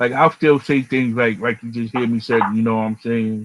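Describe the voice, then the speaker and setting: A man's medium-pitched voice with an American accent, moderate pace and fairly even intonation. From Long Island, New York. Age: 40s. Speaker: chef and podcast host. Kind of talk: casual chat.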